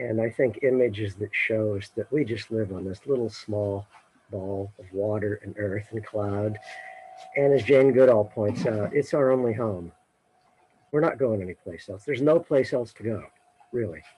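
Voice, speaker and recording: The loudness swings widely while the pace stays moderate and the pitch varies in an ordinary way. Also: man, fairly low pitch for a man. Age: 60s. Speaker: retired science educator. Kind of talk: casual chat. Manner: halting.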